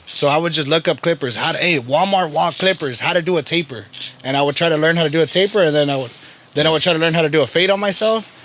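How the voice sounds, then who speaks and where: A man speaks at a very fast pace with an American accent and ordinary pitch variation. Noticeable background noise runs behind him. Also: fairly high pitch for a man. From Salinas, California. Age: 20s. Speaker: barber. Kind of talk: casual interview chat.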